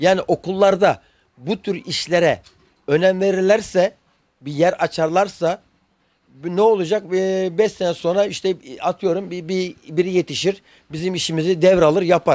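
Over a quiet background with a dry sound and no echo, a man talks at a fairly slow pace with a high pitch and a monotone, flat intonation. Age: 50s. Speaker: shoe repairman. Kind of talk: news interview; interview answer. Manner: halting. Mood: frustrated, complaining. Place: workshop. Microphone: handheld.

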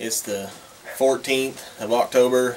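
Against light background noise, a man speaks with monotone, flat intonation. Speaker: hunter vlogger. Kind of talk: casual vlog chat. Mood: relaxed, cheerful. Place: workshop. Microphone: camera far.

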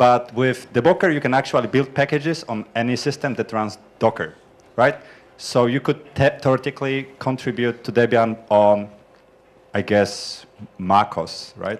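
A man at medium pitch, fairly slow pace and ordinary pitch variation. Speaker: software developer; audience member. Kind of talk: conference group introductions. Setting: conference room with microphone. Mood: friendly, smiling. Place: classroom. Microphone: handheld.

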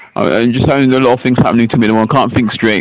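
Keeping his intonation fairly even, a man talks at a very fast pace. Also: medium pitch for a man.

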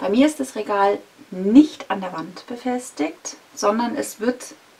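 A woman talks with lively intonation. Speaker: vlogger. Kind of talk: casual vlog chat. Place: home room.

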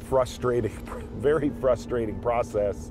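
A man talks very slowly while clear music plays behind him. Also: dry sound with no echo. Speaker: show host. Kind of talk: casual reflective talk. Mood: reflective, slightly frustrated. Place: car.

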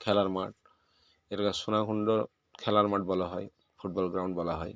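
A man's fairly low voice in a flat monotone. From West Bengal, Birbhum district. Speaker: village vlogger. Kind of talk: travel vlog narration.

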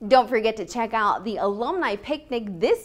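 At a moderate pace, a woman is talking. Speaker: university newscast anchor. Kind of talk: news anchor read. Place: classroom.

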